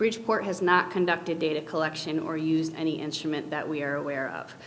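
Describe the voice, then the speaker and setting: Amid noticeable background noise and audible room echo, a woman talks at a very fast pace in a very deep, low pitch with fairly even intonation. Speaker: youth prevention program presenter. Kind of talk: presentation at public board meeting.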